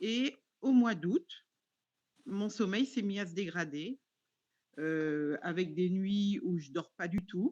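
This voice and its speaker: A woman at medium pitch speaks at a very slow pace with long, frequent pauses. Her intonation is lively. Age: 60s. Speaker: webinar participant asking a question. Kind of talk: question in live webinar. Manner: halting, many hesitations.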